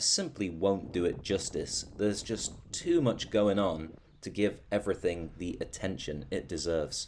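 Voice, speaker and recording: With a British accent, a man speaks at a moderate pace, his fairly low pitch carried by lively intonation. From Britain. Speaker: travel vlogger. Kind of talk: video narration. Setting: outdoors.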